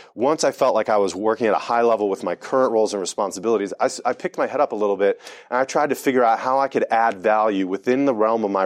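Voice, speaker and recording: A man with an American accent, fairly low-pitched and very fast, with ordinary pitch variation and a dry, close sound with no echo. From US, Delaware. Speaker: sales and marketing executive. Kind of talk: talk to a live audience. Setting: event breakfast with audience.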